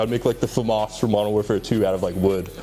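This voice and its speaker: Against noticeable background noise, a man with an American accent speaks at a very fast pace. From Hawaii. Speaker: fashion designer. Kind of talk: interview. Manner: casual, filler-heavy.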